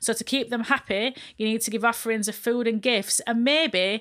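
On a very clean recording with a silent background, a woman with a Yorkshire accent speaks at a moderate pace, her fairly high pitch following fairly even intonation. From northern England, Barnsley (Yorkshire). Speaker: podcast host. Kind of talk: casual chat.

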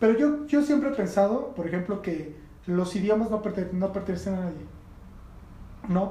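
The man's voice sits high and moves at a fairly quick pace. Room echo is audible. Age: 40s. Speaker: skateboarder and communicator. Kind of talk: casual chat.

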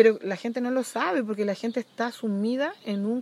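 In a plain, everyday voice, a woman talks at a moderate pace with a fairly high pitch and ordinary pitch variation. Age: 40s. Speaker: environmental and social activist. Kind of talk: casual chat.

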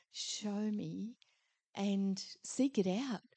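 Her tone is dark and mellow, at a medium pitch with fairly even intonation. The woman is heard in a dry, close sound with no echo. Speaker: congregation member. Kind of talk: sharing a vision and prayer.

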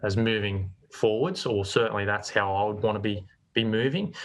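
A man speaks with an Australian accent at a fairly low pitch. His intonation stays fairly even. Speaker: commercial real estate agency manager. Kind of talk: interview.

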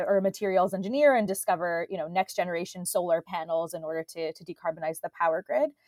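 A woman with an American accent speaks in a normal speaking voice at a fairly quick pace, medium in pitch with ordinary pitch variation. The sound is dry and close with no echo, on a very clean recording with a silent background. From US, Boston area. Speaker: PhD researcher in machine learning. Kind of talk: interview conversation.

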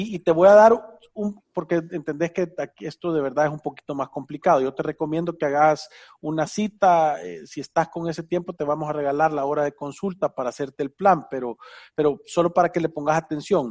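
A man with a Salvadoran accent, fairly high pitch, fairly quick pace, ordinary pitch variation, and a dry, close sound with no echo over a quiet background. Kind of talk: casual radio Q&A on personal finance. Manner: animated.

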